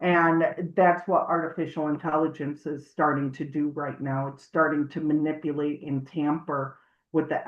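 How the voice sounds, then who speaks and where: In a Chicago accent, a woman with a very deep, low pitch talks at a moderate pace with monotone, flat intonation. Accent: Chicago, elongated O's. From US Midwest, Chicago. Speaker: audio forensics analyst, army veteran. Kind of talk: interview.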